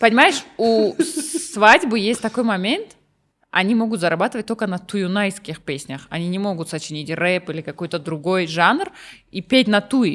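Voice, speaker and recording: Lively intonation comes through in a Russian accent. The recording is very clean, with a silent background. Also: woman, medium pitch for a woman, moderate pace. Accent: Russian-leaning when speaking Tajik. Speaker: singer and rapper. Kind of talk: casual interview chat. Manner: mixes Russian and Tajik, many fillers.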